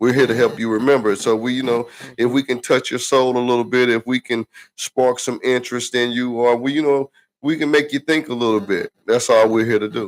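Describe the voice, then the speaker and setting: Relaxed in tone, a man speaks in a Southern US accent at medium pitch with fairly even intonation. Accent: country, Southern US. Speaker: podcast co-host. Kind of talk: casual chat. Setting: livestream podcast. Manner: relaxed, repetitive fillers.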